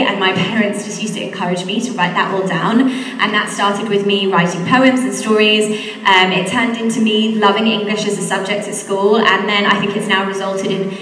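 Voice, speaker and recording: A woman's fairly quick, monotone delivery with hardly any pauses, flat intonation, audible room echo and light background noise. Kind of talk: talk to school assembly. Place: hall. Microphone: handheld.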